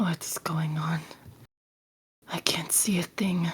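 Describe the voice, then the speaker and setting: In a raspy, put-on character voice at middle pitch, the speaker talks at a very slow pace. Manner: fearful, confused.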